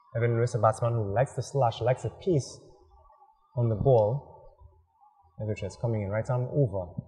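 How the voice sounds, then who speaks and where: Ordinary pitch variation marks this man's speech, delivered at a fairly quick pace. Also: medium pitch for a man. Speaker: cricket commentator. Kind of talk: live sports commentary. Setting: outdoors at cricket ground. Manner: animated, quick play-by-play.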